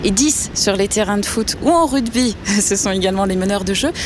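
Over noticeable background noise, a woman speaks at a moderate pace with a medium pitch and ordinary variation in it. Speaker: podcast host. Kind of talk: interview. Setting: outdoors by a river.

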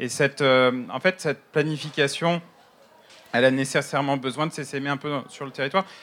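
Fairly even in intonation, a man with a fairly high voice talks at a moderate pace. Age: 30s. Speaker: architect and regional councillor. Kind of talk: panel discussion. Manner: halting.

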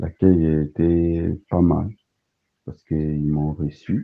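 A man with a very deep, low voice speaks very slowly in a monotone, flat delivery. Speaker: asylum seeker. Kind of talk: testimony.

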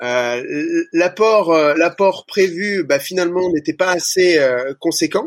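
Talking at a very slow pace with hardly any pauses, a man with a high pitch uses ordinary pitch variation in a dry, close sound with no echo. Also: very even loudness. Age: 30s. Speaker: gym franchise owner. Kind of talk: interview. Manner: halting.

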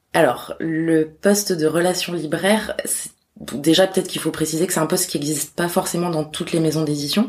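This woman has a normal speaking voice, talking at a fairly quick pace with a fairly low pitch and fairly even intonation. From Corsica. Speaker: publishing house bookseller liaison. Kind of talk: interview.

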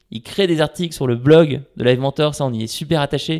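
No echo is heard, and the sound is dry and close. The recording is very clean, with a silent background. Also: man. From France, Paris. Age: 30s. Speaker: startup CEO. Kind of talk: interview. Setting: at home, large echoey room.

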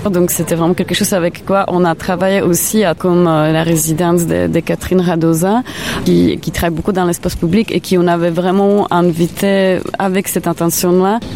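With a Czech accent, a woman speaks at a moderate pace in a fairly low pitch and fairly even intonation, with noticeable background noise. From Czech Republic. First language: Czech (speaking French). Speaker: art curator. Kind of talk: interview. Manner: halting.

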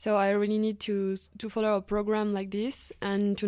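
The woman's tone is dark and mellow, with a French accent. The recording is very clean, the background silent. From France, Savoie (Chambéry). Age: 20s. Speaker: student. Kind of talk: casual interview.

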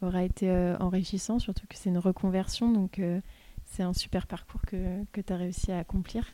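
At a moderate tempo, the speech carries a dark, mellow tone. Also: woman. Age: 20s. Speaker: podcast host. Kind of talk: interview.

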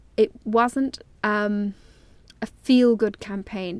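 Her pitch is fairly high, and she speaks with an Irish accent. The woman is recorded very cleanly against a silent background. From Ireland. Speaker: journalist. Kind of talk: interview. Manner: hesitant, many fillers.

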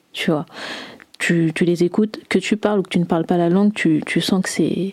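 A woman speaks in a dark, mellow tone at a fairly low pitch for a woman, with fairly even intonation and a dry, close sound with no echo. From France. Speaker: singer. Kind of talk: interview. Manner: hesitant, many fillers.

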